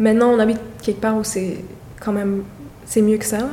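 Noticeable background noise sits behind this woman. Her fairly high pitch carries a monotone, flat intonation. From Montreal, Côte-des-Neiges. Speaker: neighborhood resident. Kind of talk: interview testimony.

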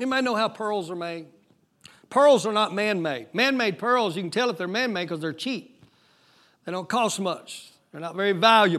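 On a very clean recording with a silent background, a man with a high pitch speaks at a moderate pace, his tone animated, bright and sharp, and his intonation lively. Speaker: pastor. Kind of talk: sermon. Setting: church.

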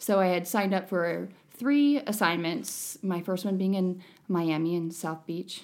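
A woman with an American accent has a normal speaking voice at a medium pitch with ordinary pitch variation and a moderate pace, on a very clean recording with a silent background. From northeastern Ohio. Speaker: nurse injector. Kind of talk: casual chat, interview.

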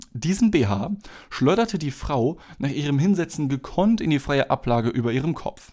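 Lively intonation runs through a man's speech, which holds a moderate pace. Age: 20s. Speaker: podcast host and gas station worker. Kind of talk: casual solo monologue; reading aloud own written story. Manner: hesitant, many filler sounds.

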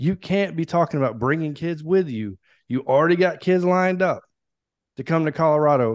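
A man with an ordinary speaking voice talks at a fairly quick pace with fairly high pitch and ordinary pitch variation. The background is quiet. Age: 30s. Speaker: Air Force veteran and sports podcaster. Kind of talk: casual chat.

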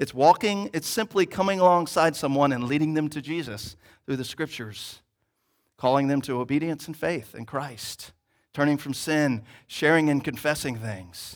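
Recorded very cleanly against a silent background, a man with a normal speaking voice talks at a fairly high pitch with ordinary pitch variation. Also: moderate pace. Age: 30s. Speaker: church planting resident preaching. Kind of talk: sermon. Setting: church service.

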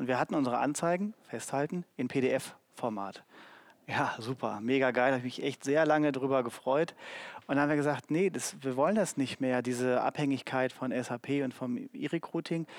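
In a very clean recording with a silent background and dry, close sound with no echo, a man with a normal speaking voice talks at a moderate pace, medium pitch and ordinary pitch variation. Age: 40s. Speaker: HR marketing manager. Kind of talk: live panel talk. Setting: stage with audience.

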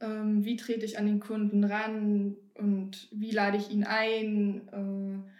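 A woman talks at a very slow pace with hardly any pauses, her medium pitch held in a monotone, flat intonation. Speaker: bank trainee. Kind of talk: casual interview.

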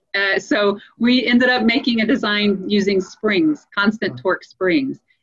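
Fairly high in pitch, a woman with an American accent talks at a moderate pace with lively intonation while music plays in the background. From US South, Louisiana. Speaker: space agency scientist. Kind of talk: interview.

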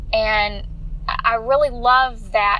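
Noticeable background noise and audible room echo surround the woman who is talking. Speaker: fitness coach and podcast host. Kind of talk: casual devotional monologue.

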